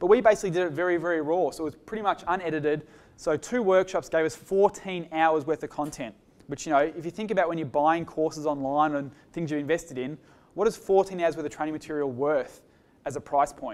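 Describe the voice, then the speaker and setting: A man with a fairly high pitch talks at a very fast pace with ordinary pitch variation. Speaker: business speaker presenting a case study. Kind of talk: presentation at a workshop.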